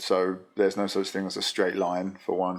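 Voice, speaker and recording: A man with a London accent speaks at a fairly low pitch and a moderate pace on a very clean recording with a silent background. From England, London. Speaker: motorcycle business data analyst. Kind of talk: casual chat.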